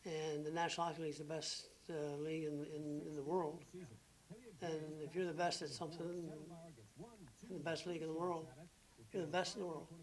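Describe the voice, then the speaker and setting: Speaking with a Canadian Maritime accent, a man with a fairly high voice talks at a fairly quick pace in a monotone, flat intonation, broken by long, frequent pauses. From Maritime Canada. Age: 60s. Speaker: retired professional hockey player. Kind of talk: interview answer.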